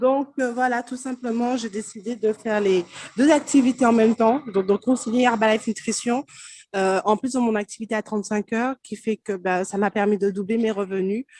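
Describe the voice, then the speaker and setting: A woman's fairly high voice, with fairly even intonation, sounds dry and close with no echo. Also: moderate pace. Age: 20s. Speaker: network marketing distributor. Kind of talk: testimony. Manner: halting.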